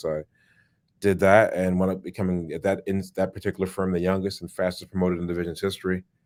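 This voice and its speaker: On a very clean recording with a silent background, a man with a New York accent speaks very fast in a very deep, low, flat monotone. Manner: fast-talking, rapid.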